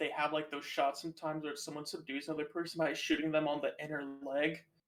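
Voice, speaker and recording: A man speaks at a very fast pace with hardly any pauses, his pitch fairly high and his intonation fairly even. Music plays in the background. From United States. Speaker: podcast co-host. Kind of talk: casual chat.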